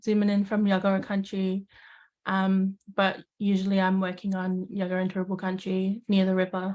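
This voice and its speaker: The speaker is a woman with medium pitch. She talks in an Australian accent. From Tonga. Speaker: community participant. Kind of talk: casual chat. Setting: video call.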